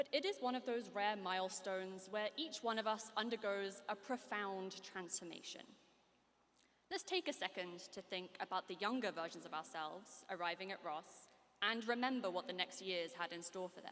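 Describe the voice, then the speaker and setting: Medium pitch and a moderate pace from a woman, her pitch variation ordinary. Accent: British. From United Kingdom. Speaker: graduating student speaker. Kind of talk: commencement speech. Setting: stage with audience. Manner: formal.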